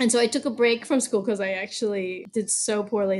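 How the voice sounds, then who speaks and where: A woman speaks in an unremarkable speaking voice with an American accent, her pitch medium and its variation ordinary. Her pace is fairly quick. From US, Baltimore, Maryland. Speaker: arts education consultant and teaching artist. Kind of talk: interview conversation.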